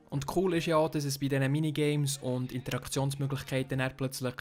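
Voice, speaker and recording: A man talks in a Swiss accent at a fairly high pitch. His delivery is monotone and flat. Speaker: podcast host. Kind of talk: casual podcast game review discussion.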